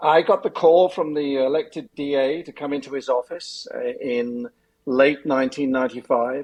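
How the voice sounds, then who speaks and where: A man with an American accent, fairly high pitch, moderate pace and ordinary pitch variation. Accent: English, some years in US. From England. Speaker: elder abuse lawyer, former prosecutor. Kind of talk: podcast interview.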